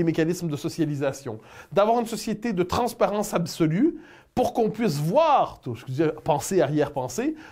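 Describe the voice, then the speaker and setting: A man's dark, mellow tone with lively intonation at a fairly quick pace, on a very clean recording with a silent background. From Canada. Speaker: political commentator. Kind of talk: interview answer.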